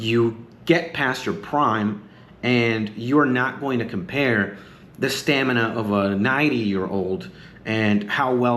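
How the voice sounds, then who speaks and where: A man talks in a normal speaking voice at a medium pitch. His pace is fairly slow, with ordinary pitch variation. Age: 30s. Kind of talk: casual talk to camera. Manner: rambling, relaxed.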